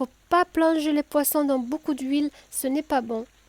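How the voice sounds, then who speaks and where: In a southern French accent, a woman speaks in a relaxed, gentle tone at a fairly slow pace, with a dry, close sound with no echo. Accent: southern French (Midi). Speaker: cooking video host. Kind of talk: cooking tutorial. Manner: hesitant, with fillers and repetitions.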